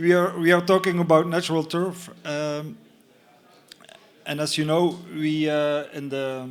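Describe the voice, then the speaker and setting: A man's fairly high-pitched, monotone voice with flat intonation, a fairly slow pace, long and frequent pauses, and audible room echo. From Belgium. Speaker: company representative presenting a product. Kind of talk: conference talk. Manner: halting, many fillers.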